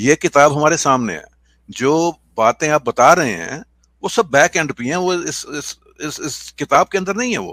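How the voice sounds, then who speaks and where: Lively intonation and a bright, sharp tone from a man, with big swings in loudness, in a dry, close sound with no echo on a very clean recording with a silent background. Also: fairly high pitch for a man. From Pakistan. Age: 60s. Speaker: atheist debater. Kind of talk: street debate. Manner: hesitant, halting.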